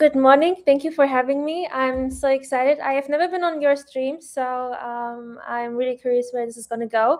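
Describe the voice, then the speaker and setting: A woman with a non-native accent speaks at a high pitch and a moderate pace. She has big swings in loudness and hardly any pauses. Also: fairly even intonation. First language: not English. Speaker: stream guest. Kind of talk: casual chat.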